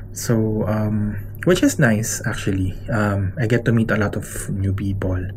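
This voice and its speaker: Soft-spoken, the man is heard against noticeable background noise and audible room echo. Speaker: travel vlogger. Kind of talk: casual vlog narration. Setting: hotel room.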